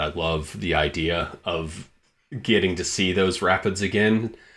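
Very deep and low in pitch, a man speaks with a bright, sharp tone, ordinary pitch variation and an American accent. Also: very clean recording, silent background. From Michigan. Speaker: digital director, podcast co-host. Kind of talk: casual educational conversation. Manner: halting, many fillers and repetitions.

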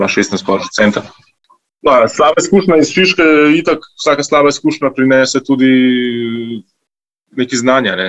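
A man with an ordinary speaking voice talks at medium pitch with lively intonation. The sound is dry and close with no echo. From grew up partly in Italy. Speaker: restaurant co-founder. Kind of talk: interview.

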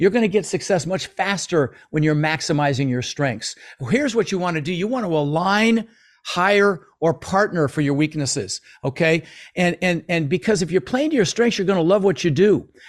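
A man's high-pitched voice with an American accent, lively intonation and a moderate pace, on a very clean recording with a silent background. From US, Denver, Colorado. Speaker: real estate investor and mentor. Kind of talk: interview.

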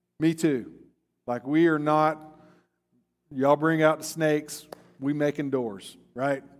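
The delivery is animated, broken by long, frequent pauses. The recording is very clean, with a silent background. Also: man, fairly high pitch for a man. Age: 50s. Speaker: pastor. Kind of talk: sermon.

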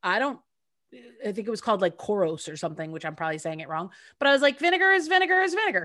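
A woman with an American accent talks very fast in a bright, sharp tone, her pitch swinging very widely and her loudness rising and falling a lot, on a very clean recording with a silent background. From upstate New York, US. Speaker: podcast co-host and actress. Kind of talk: casual chat.

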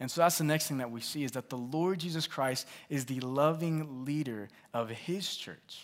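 A man talks in a normal speaking voice at a moderate pace, his pitch fairly high with ordinary variation. The recording is very clean, with a silent background. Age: 20s. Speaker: pastor. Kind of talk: sermon.

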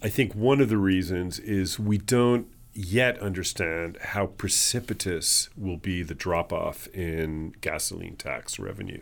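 An unremarkable speaking voice from a man, fairly low in pitch, at a fairly slow pace with hardly any pauses and ordinary pitch variation, in a very clean recording with a silent background. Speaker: author and conference CEO. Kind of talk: interview.

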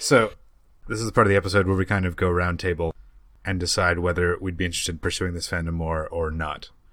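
With a Canadian accent, a man with a very deep, low voice talks at a very fast pace in a fairly even intonation. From Canada. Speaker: podcast host. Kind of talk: casual chat.

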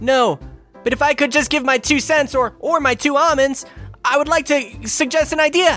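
A squeaky, high-pitched put-on character voice speaks at a moderate pace. Faint music plays in the background. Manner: eager, polite.

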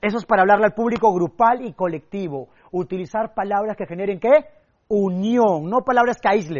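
A man speaks at a moderate pace with a high pitch. His tone is animated, with ordinary pitch variation. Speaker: public speaking coach. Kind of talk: seminar lecture. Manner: animated, varied pitch and pace.

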